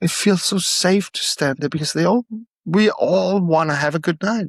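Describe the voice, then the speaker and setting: In a dry, close sound with no echo, a man with a non-native accent speaks at a moderate pace with lively intonation. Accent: non-native English, noticeable. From Denmark. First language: Danish. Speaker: storyteller. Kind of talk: interview. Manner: halting.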